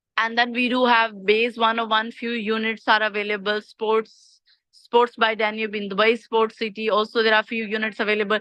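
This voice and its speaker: A woman's fairly high, monotone voice with flat intonation and hardly any pauses. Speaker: property sales agent. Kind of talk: sales presentation. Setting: video call. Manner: fast.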